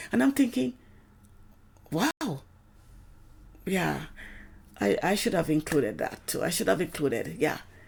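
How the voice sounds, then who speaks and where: Her voice marked by vocal fry, a woman speaks with very wide pitch swings and long, frequent pauses. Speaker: complainant in a legal dispute. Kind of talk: personal account. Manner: halting.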